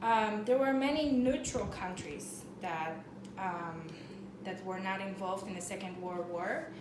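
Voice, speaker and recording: A woman with a Polish accent speaks at a fairly slow pace, her medium-pitched voice rising and falling in a lively way. Noticeable background noise and audible room echo surround her. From Poland. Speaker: student presenter. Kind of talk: class presentation. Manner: halting, many fillers.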